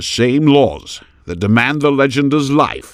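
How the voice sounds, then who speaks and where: A man puts on a gruff character voice, medium in pitch with ordinary pitch variation, speaking at a fairly slow pace. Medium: read story. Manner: defiant, blunt.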